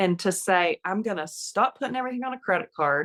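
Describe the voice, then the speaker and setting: In an ordinary speaking voice of medium pitch, a woman talks with ordinary pitch variation, the recording very clean with a silent background and a dry, close sound with no echo. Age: 60s. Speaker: retired nurse, podcast guest. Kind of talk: interview conversation. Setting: podcast interview.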